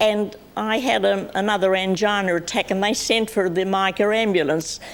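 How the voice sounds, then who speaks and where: At a moderate pace, a woman with an Australian accent speaks at medium pitch with ordinary pitch variation. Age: 80s+. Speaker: pensioner and TV show regular. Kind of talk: talk show interview. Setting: TV studio with audience.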